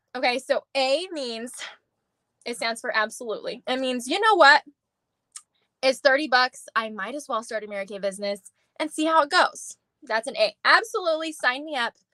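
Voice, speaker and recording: A woman projects a raised, high-pitched voice with lively intonation and big swings in loudness. Long, frequent pauses break up her speech, and the sound is dry and close with no echo. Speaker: beauty sales director. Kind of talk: live stream sales pitch. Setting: live video call. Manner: fast; animated.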